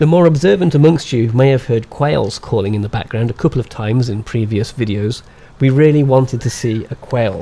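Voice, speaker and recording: A man with a West Midlands accent speaks at a fairly quick pace in a medium pitch. His tone is dark and mellow, somewhat breathy, with ordinary pitch variation. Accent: West Midlands English, stronger when excited. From England, West Midlands. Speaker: birding vlogger. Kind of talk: scripted narration with vlog segments.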